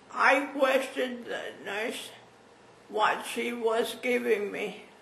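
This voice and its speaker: A high-pitched woman talks at a very slow pace with fairly even intonation, amid audible room echo and noticeable background noise. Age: 80s+. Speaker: stroke patient. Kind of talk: testimony. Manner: halting.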